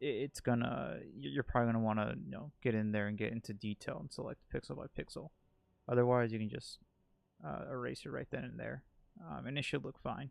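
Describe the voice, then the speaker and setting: At a fairly quick pace, a man with lively intonation and a medium pitch speaks in an unremarkable speaking voice. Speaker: gaming streamer. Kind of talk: tutorial. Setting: live stream. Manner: casual, filler-heavy.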